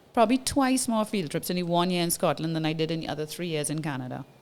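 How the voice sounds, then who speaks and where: A woman with a Trinidadian accent, fairly low-pitched, with lively intonation. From Trinidad and Tobago. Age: 40s. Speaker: businesswoman, former oil and gas engineer. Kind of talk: casual interview storytelling.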